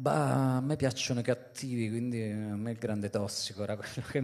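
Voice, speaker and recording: The man speaks with ordinary pitch variation. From Italy, rural province. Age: 40s. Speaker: journalist and novelist; journalist. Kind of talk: book presentation talk. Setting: live event with audience. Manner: halting, many fillers. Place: stage. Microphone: handheld.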